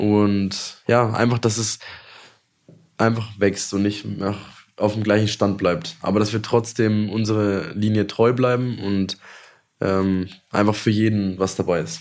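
Man with a fairly low pitch, monotone, flat intonation, very slow pace and long, frequent pauses. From Franconia, near Nuremberg (Wendelstein). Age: 20s. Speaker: chef. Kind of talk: casual interview.

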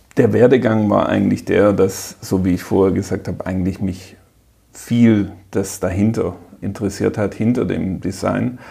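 At a moderate pace, a man speaks in a fairly low, dark, mellow tone with vocal fry and fairly even intonation. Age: 40s. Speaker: technical director. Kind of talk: interview. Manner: halting.

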